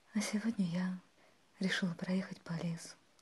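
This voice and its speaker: Very slow, somewhat breathy female voice at a medium pitch, with monotone, flat intonation. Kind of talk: ASMR relaxation monologue. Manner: whispered, soothing.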